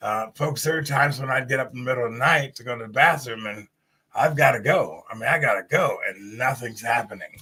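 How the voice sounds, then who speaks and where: This man talks at a fairly quick pace in a medium pitch, with a bright, sharp tone and ordinary pitch variation. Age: 60s. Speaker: talk show host. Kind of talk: live stream talk show. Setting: live stream.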